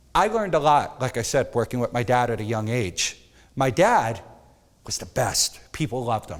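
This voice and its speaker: Very cleanly recorded over a silent background, a man at medium pitch talks at a moderate pace with lively intonation. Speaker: photography instructor. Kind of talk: workshop lecture. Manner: loud.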